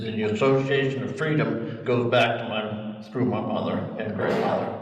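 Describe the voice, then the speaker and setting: Noticeable background noise and audible room echo surround a man with an American accent. His pitch is medium, with ordinary variation. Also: moderate pace. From Ohio, US Midwest. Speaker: long-time town resident. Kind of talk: oral history group talk. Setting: community meeting room with audience, microphone passed around.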